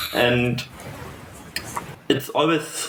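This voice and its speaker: A man speaks with a German accent and fairly even intonation. Audible room echo and noticeable background noise surround his voice. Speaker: fireplay educator. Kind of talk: interview. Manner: lyrical; halting.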